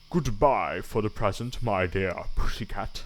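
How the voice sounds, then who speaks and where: A man puts on a character voice, talking at a moderate pace with a medium pitch. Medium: read story. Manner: boastful, wheedling.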